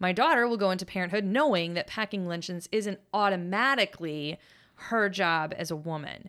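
A woman with an American accent has an ordinary speaking voice at a medium pitch. She keeps a moderate pace with ordinary pitch variation. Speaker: podcast host. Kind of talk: casual interview chat. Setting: studio.

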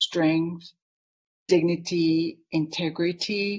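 A woman with a Japanese accent speaks at a very slow pace. Her voice is somewhat breathy. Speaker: artist and author. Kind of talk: interview conversation. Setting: live online video conversation.

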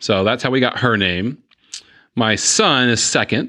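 A man with a Southern US accent and medium pitch speaks at a very slow pace with ordinary pitch variation against a quiet background. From East Tennessee (Chattanooga). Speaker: hospital executive. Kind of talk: interview. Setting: studio.

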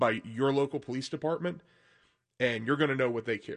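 A man talks in an ordinary speaking voice, with ordinary pitch variation. The background is quiet. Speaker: co-host. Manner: laid-back, joking.

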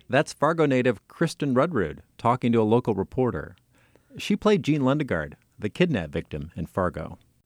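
A man talks at a fairly quick clip with very wide pitch swings and vocal fry, recorded dry and close with no echo. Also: medium pitch for a man. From North Dakota. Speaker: podcast host and documentary producer. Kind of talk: scripted narration.

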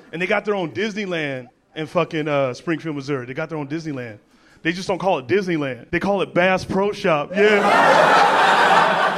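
Noticeable background noise accompanies a man with an American accent talking at a moderate pace. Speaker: comedian. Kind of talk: stand-up. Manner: animated.

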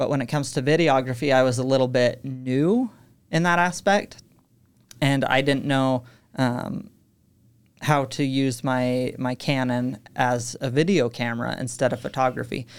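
Captured on a very clean recording with a silent background, the speaker talks at a moderate pace with a western US accent. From Utah. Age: 20s. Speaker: podcast studio manager. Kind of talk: interview. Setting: studio.

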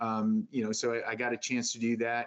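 At a fairly quick pace, a man talks at medium pitch in an ordinary speaking voice. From upstate New York. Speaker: retired Marine sergeant major, veterans program director. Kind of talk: interview.

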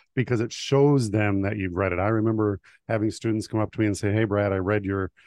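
A man's unremarkable speaking voice, fairly low in pitch, at a fairly quick pace with fairly even intonation. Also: dry, close sound with no echo. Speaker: podcast host. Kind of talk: interview, scripted intro.

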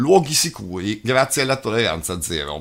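Speaking at a fairly quick pace, a man has a medium pitch, vocal fry and a serious tone. His pitch swings very wide. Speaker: news presenter and abuse survivor spokesperson. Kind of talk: news reading, formal read-out bulletin introduction. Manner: formal; steady, measured, serious newsreader delivery.

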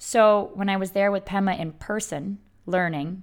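A woman's medium-pitched voice, fairly slow and fairly even in intonation, in a very clean recording with a silent background. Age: 40s. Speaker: podcast host and belly dancer. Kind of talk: solo podcast monologue.

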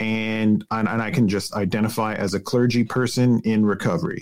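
Talking at a fairly quick pace, a man with a Canadian accent has an unremarkable speaking voice pitched fairly low. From Canada, British Columbia (Vancouver suburbs). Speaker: pastor in recovery. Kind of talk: interview conversation.

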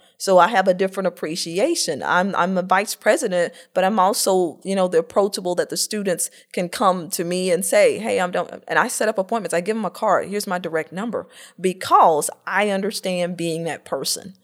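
With an American accent, a woman of medium pitch talks at a fairly quick pace in an energetic tone. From US South, north Florida (Greenville). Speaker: college vice president. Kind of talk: interview.

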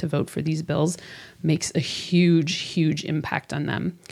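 Speaking at a moderate pace, a woman uses a very deep, low pitch with vocal fry. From US Midwest (Chicago northern suburbs). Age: 40s. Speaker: gun violence prevention campaign organizer. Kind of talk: interview conversation. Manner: animated, enthusiastic.

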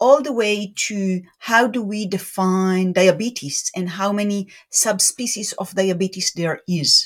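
A somewhat breathy woman speaks at a fairly slow pace with hardly any pauses. Her pitch varies in an ordinary way, and the recording is very clean with a silent background. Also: medium pitch for a woman. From southern Israel (Beersheba). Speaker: tech company CEO and chemist. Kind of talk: interview.

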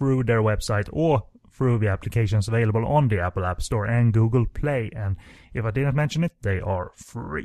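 Against a quiet background, a man talks at a moderate pace with ordinary pitch variation, the sound dry and close with no echo. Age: 30s. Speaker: film podcast host. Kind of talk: casual chat. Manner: hesitant, many filler words.

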